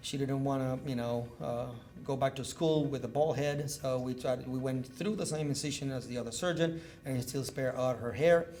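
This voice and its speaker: Speaking with a Cuban accent at a moderate pace, a man has a medium pitch and fairly even intonation, with audible room echo. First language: Spanish. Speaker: neurosurgeon. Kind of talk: medical lecture. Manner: loud.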